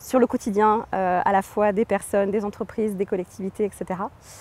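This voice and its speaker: The speech moves at a moderate pace with fairly even intonation, recorded with a dry, close sound and no echo. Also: woman. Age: 30s. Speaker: environmental agency engineer. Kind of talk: interview. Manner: hesitant, many fillers.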